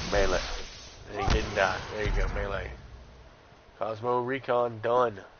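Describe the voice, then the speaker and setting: With audible room echo and noticeable background noise, a man with an American accent speaks at a fairly slow pace, with long, frequent pauses. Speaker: gaming streamer. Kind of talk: live gameplay commentary. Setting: live stream. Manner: casual, chatty.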